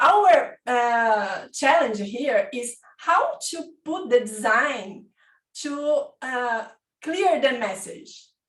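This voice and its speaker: At a very slow pace, a woman with a Portuguese accent and a high pitch makes very wide pitch swings and big swings in loudness. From Brazil. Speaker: design consultant, participant. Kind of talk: audience question. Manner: halting.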